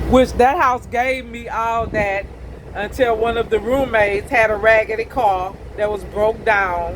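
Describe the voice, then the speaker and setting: A woman is talking at a medium speed while noticeable noise sounds in the background. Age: 50s. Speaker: school bus driver. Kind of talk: casual vlog monologue. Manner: loud.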